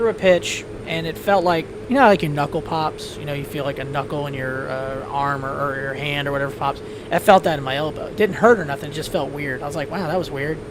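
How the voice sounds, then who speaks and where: The speech comes at a very fast pace. Background noise is noticeable. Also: man, fairly high pitch for a man, ordinary pitch variation. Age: 40s. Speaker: flight sim streamer. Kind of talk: casual chat. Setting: live stream.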